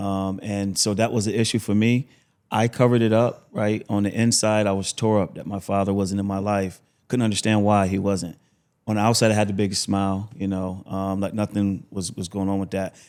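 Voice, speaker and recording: A man with an American accent speaks at a fairly quick pace in a fairly low, monotone, flat voice. The recording is very clean, with a silent background. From Buffalo, New York. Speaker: motivational speaker, former prisoner. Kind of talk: podcast interview testimony. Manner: talkative, fluent; frequent um fillers.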